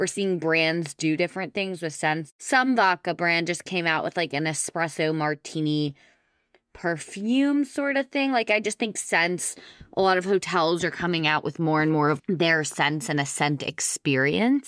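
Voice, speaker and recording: A woman with an unremarkable speaking voice, fairly low in pitch, at a moderate pace with lively intonation. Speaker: co-host reading listener mail. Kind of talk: casual chat and reading listener letters.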